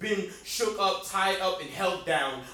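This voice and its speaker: A man projects his voice at a fairly slow pace in an American accent. His pitch is high, and noticeable background noise runs behind him. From Jersey City, New Jersey. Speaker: spoken word poet. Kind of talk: spoken word performance.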